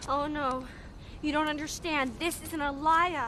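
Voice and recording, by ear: A put-on character voice, female-sounding, high-pitched and whiny, moves at a moderate pace. Clear background noise sits behind it.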